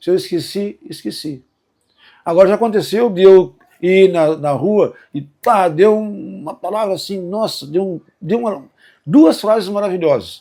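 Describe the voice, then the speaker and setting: With a high pitch for a man, he speaks at a fairly slow pace in a dark, mellow tone with ordinary pitch variation. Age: 70s. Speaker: musician and songwriter. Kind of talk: testimony. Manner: casual, hesitant with false starts.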